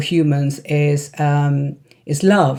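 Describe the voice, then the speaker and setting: An Indian accent, a dark, mellow tone and monotone, flat intonation. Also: woman. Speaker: psychiatrist and wellness coach. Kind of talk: casual talk to camera. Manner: halting, many fillers.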